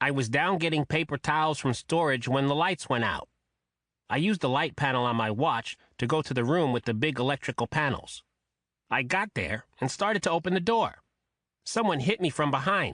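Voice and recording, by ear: A man puts on a nasal character voice at a fairly high pitch, with lively intonation and very even loudness. He moves at a fairly quick pace, dry and close with no echo, against a quiet background.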